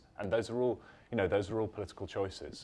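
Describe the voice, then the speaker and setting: A man with a British accent speaks in a somewhat breathy voice. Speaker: journalist. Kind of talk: panel discussion. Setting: event with live audience.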